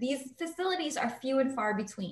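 Someone with an American accent speaks at a moderate pace. Noticeable background noise runs underneath. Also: woman. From New York, South Bronx. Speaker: real estate agent and community advocate. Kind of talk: interview.

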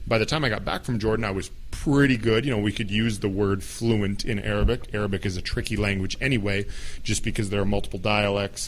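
Noticeable background noise sits behind a man with a fairly low voice. He speaks at a fairly quick pace with fairly even intonation. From United States. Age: 30s. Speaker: podcast host. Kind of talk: solo podcast monologue.

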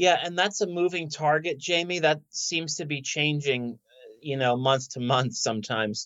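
At a moderate pace, a man speaks in an unremarkable speaking voice, fairly high in pitch with ordinary pitch variation. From South Philadelphia. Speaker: oncologist. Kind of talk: interview.

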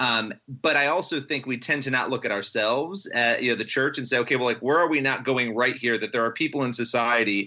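At a fairly quick pace, a man uses an ordinary speaking voice with medium pitch and ordinary pitch variation. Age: 30s. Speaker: journalist and writer. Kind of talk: casual interview.

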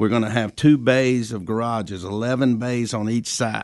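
A man talks at a fairly slow pace in an ordinary speaking voice, medium in pitch. The background is quiet. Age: 60s. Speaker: racetrack president, retiring. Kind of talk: casual interview.

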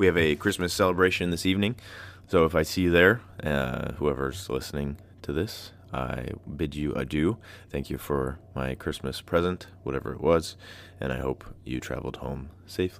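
A man speaks at a moderate pace with vocal fry. His pitch is very deep and low. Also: ordinary pitch variation. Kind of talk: casual solo podcast talk with poetry reading. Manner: casual, with frequent filler words.

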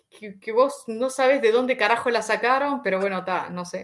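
A woman speaks with a Uruguayan accent. Her pitch is fairly high. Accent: Rioplatense Spanish (Uruguayan). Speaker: YouTuber. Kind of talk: casual interview. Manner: animated.

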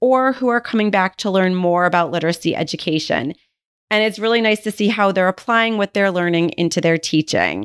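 A woman speaks at a fairly quick pace with ordinary pitch variation. The recording is very clean with a silent background, and the sound is dry and close with no echo. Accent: Western New York. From Buffalo, New York, US. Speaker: literacy professor and podcast host. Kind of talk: solo podcast monologue.

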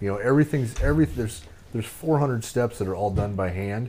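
A dark, mellow tone with an American accent. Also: man. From Nebraska, US. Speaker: veteran and cigar company co-owner. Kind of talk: casual interview chat. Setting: studio.

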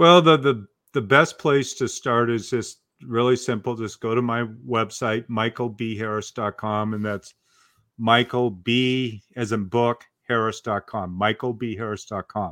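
A man with an American accent speaks very slowly at a medium pitch and with fairly even intonation. The sound is dry and close, with no echo. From US Pacific Northwest, Portland, Oregon. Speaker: author and speaking coach. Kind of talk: podcast interview.

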